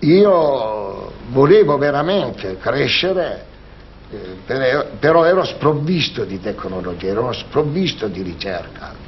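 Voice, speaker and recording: The pitch swings very widely while the speech moves at a very slow pace. Noticeable background noise sits behind it. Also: man, fairly high pitch for a man. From Salento, southern Italy. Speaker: shoe manufacturer businessman. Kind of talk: interview.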